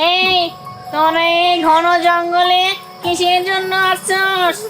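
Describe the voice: Over clear background music, a cartoonish character voice speaks at an extremely high pitch. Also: fairly slow pace.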